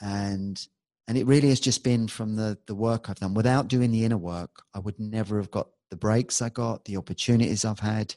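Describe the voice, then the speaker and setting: In a London accent, a man talks fairly quickly with a fairly low, dark, mellow voice and fairly even intonation, the sound dry and close with no echo against a quiet background. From London, England. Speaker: hypnotherapist and musician. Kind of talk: casual interview chat.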